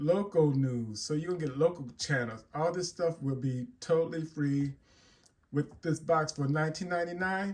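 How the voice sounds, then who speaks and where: Here is an ordinary speaking voice from a man, pitched fairly high. He talks at a fairly slow pace with ordinary pitch variation. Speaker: tech tutorial YouTuber. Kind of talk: tutorial. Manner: casual, with fillers and repetitions.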